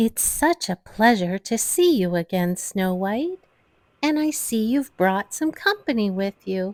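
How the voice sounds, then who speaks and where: A female-sounding voice puts on a character voice at fairly high pitch. The recording is very clean, with a silent background. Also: fairly slow pace. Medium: read story. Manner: warm, gentle.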